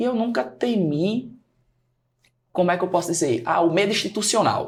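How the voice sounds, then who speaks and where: Lively intonation at a moderate pace, with very even loudness. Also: man, high pitch for a man. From Brazil, Natal (Rio Grande do Norte). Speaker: teacher and study mentor. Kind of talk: podcast interview.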